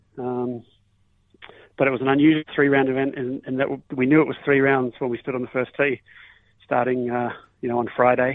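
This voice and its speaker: In an Australian accent, a man talks at a moderate pace with monotone, flat intonation and long, frequent pauses. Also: medium pitch for a man. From Australia, Melbourne. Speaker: professional golfer. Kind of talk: casual interview.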